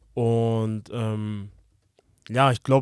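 The background is quiet. A man speaks in a dry sound with no echo. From Hamburg, northern Germany; Germany. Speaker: professional footballer; podcast guest. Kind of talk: interview. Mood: relaxed, reflective. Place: studio. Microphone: studio mic.

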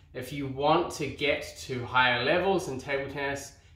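Audible room echo surrounds the voice. The pitch varies in an ordinary way. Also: man. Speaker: table tennis coach. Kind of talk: tutorial. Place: home room.

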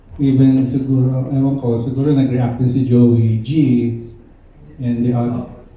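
In a room with audible echo, a man at medium pitch talks at a very slow pace. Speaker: band member at press conference. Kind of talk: press conference Q&A.

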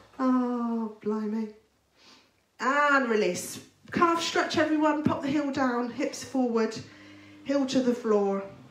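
Amid audible room echo, a woman speaks at a very slow pace with long, frequent pauses, her high pitch showing ordinary variation. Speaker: fitness instructor. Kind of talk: live workout instruction. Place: kitchen.

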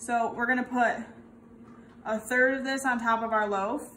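A woman's voice with fairly even intonation and light background noise. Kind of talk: tutorial. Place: kitchen. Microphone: camera far.

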